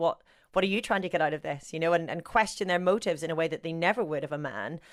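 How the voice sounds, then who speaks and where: A woman with a Northern Irish accent, fairly low in pitch, her intonation fairly even. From Northern Ireland, rural. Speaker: sports broadcaster. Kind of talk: interview. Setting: podcast.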